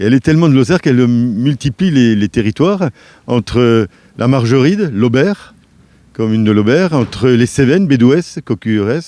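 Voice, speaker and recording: A man speaks at a medium pitch, his dark, mellow tone moving with lively intonation. The sound is dry and close with no echo, and the background is quiet. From France, Strasbourg. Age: 60s. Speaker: parliamentary election candidate. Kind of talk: interview.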